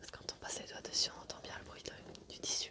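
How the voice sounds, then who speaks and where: Noticeable background noise runs through the clip. Over it, a woman whispers at a moderate pace. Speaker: ASMR creator. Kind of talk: ASMR show and tell, casual talk to camera.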